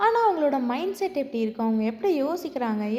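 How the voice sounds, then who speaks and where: Against noticeable background noise, a woman's high voice swings very widely in pitch. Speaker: voice-over narrator. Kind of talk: drama recap narration. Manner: clear, expressive.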